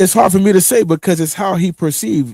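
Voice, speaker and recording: In a dry, close recording with no echo, a man talks at a fairly quick pace in a dark, mellow tone. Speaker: podcast co-host. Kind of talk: casual chat. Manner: halting.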